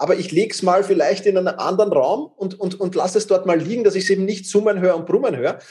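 A man speaks with a Viennese accent at high pitch. His pace is very fast. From Vienna, Austria. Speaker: time management coach. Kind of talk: interview. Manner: repeats words, stammering starts.

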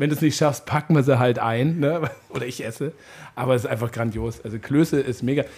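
A man talks at a fairly quick pace. His voice is somewhat breathy, with fairly even intonation. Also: medium pitch for a man. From Upper Bavaria. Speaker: podcast host. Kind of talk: casual chat.

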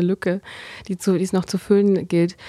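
The woman's intonation is monotone and flat. The sound is dry and close, without echo. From Berlin. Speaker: newspaper reporter. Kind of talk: casual interview. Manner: hesitant, many fillers.

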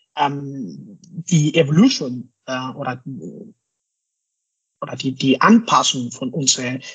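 His pitch varies in an ordinary way. The man's voice sits fairly high. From Mexico. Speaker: scrum master and hardware designer. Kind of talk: interview. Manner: hesitant, many fillers.

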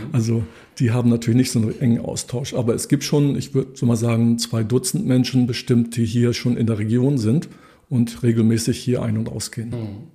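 A man's medium-pitched, somewhat breathy voice with a dark, mellow tone moves at a fairly quick pace with fairly even intonation. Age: 60s. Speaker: economist and cooperative member. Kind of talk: interview. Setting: office.

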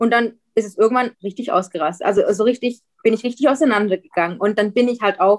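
Fairly quick and fairly high-pitched, a woman talks with ordinary pitch variation in a dry, close sound with no echo. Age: 20s. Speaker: guest sharing weight-loss surgery experience. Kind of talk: interview. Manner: halting.

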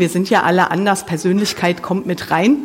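A woman's medium-pitched voice with ordinary pitch variation against noticeable background noise. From Germany, Mönchengladbach (Lower Rhine). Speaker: preacher. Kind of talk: sermon. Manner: casual, with many fillers.

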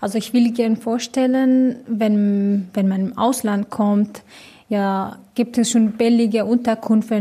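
A woman with a Persian accent, fairly high in pitch, somewhat breathy, with a dark, mellow tone, monotone, flat intonation and a very slow pace on a very clean recording with a silent background. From Iran. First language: Persian (speaking German). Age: 20s. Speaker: hostel resident. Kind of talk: interview. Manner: halting.

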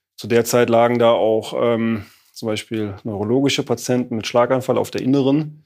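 On a very clean recording with a silent background, a man speaks in a monotone, flat intonation. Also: medium pitch for a man, moderate pace. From Germany, Rhineland (Neuwied). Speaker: physiotherapy school director. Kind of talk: interview. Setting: in a physiotherapy practice.

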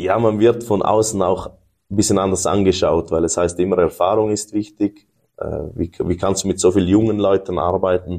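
In a very deep, low voice with a dark, mellow tone, a man speaks at a moderate pace in a monotone, flat intonation against a quiet background. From Switzerland. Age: 30s. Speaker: business owner. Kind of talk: interview conversation.

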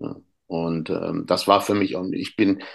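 A man with a very deep, low pitch talks over a quiet background. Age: 50s. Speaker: youth football coach and author. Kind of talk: podcast interview. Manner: halting, many fillers.

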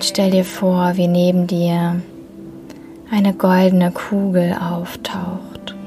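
Noticeable background noise sits under a gentle, soothing tone with monotone, flat intonation. The pace is very slow, with long, frequent pauses. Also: woman, medium pitch for a woman. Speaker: podcast host and meditation guide. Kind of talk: guided meditation, calm soothing instructions. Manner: slow, soft-spoken, gentle and soothing with long pauses; warm, tender, reassuring tone.

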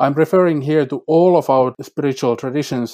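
On a very clean recording with a silent background, a man with a Finnish accent speaks at a moderate pace in a fairly high pitch with fairly even intonation. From Finland, North Karelia. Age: 40s. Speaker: climate scholar. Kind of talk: interview.

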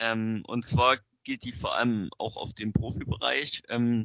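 A man's medium-pitched voice, an ordinary speaking voice. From Saxony, near Zwickau. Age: young. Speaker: young football referee. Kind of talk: interview questions.

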